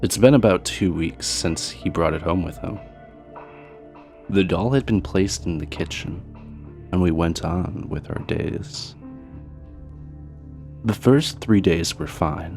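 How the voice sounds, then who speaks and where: Music plays in the background as a man with a very deep, low pitch speaks at a very slow pace. His intonation is lively, broken by long, frequent pauses. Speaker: horror story narrator. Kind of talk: true scary story narration.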